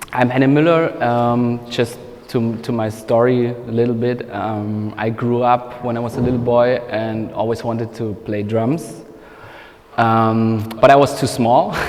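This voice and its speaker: A man at a fairly slow pace with fairly even intonation, amid audible room echo and noticeable background noise. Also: medium pitch for a man. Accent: German. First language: German. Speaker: music producer and mixing engineer. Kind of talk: masterclass talk. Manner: halting, many fillers.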